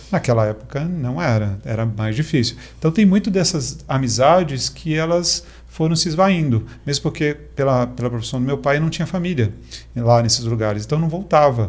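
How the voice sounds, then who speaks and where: Somewhat breathy, a man speaks at a moderate pace and medium pitch with lively intonation. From Brazil, mostly Minas Gerais and central states. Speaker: technology executive. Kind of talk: casual interview chat.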